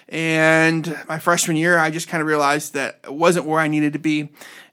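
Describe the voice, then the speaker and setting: In an Ohio accent, a man talks at a fairly high pitch. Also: very clean recording, silent background. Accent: Northern US Midwest (Ohio). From Northeast Ohio, Cleveland and Medina. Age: 30s. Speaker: pastor. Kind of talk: casual interview.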